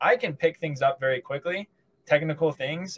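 A man speaks in a somewhat breathy voice. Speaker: podcast guest. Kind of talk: interview answer. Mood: relaxed, smiling. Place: home room. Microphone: video call.

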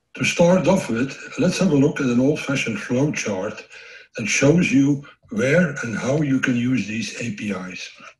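A man with a fairly high voice, lively intonation and a fairly slow pace, plus audible room echo. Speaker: systems engineer. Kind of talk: technical conference presentation. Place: home room.

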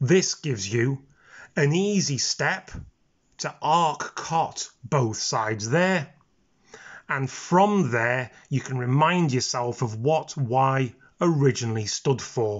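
At a very slow pace, a man speaks at medium pitch with lively intonation. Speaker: maths teacher. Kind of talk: educational maths explanation, casual talk to camera. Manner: relaxed, low-key, informal.

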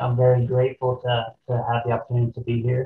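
A man's somewhat breathy, medium-pitched voice with an American accent, over light background noise and audible room echo. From US Midwest, southern Illinois. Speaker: rafting company co-owner and army veteran; guest. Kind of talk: panel discussion. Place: office. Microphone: webcam.

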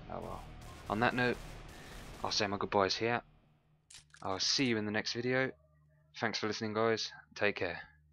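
Over music in the background, a man with a Birmingham accent talks at a moderate pace in a medium pitch, his intonation flat and monotone, with long, frequent pauses. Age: 20s. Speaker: gaming youtuber. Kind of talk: gameplay commentary. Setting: home recording with microphone.

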